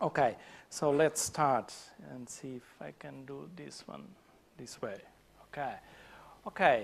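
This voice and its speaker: A man's medium-pitched voice with a Portuguese accent, vocal fry, lively intonation, big swings in loudness and long, frequent pauses. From Portugal. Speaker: conference speaker. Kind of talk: conference talk. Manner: halting, many fillers.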